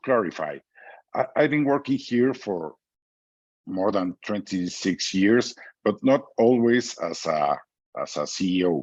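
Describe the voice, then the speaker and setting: Over a quiet background, a man with a fairly low pitch speaks at a very slow pace, his voice making very wide pitch swings. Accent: Mexican. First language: Spanish. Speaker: business executive. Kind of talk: interview. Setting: video call. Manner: halting.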